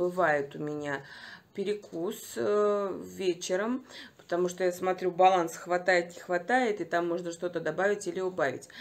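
A woman talks at a fairly slow pace in a fairly low voice with ordinary pitch variation. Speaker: home vlogger. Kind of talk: casual vlog chat. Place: home room. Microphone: phone near.

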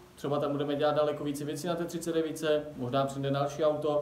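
A man at a very fast pace, with audible room echo. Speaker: car hobby vlogger. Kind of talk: casual vlog chat. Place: garage. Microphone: phone near.

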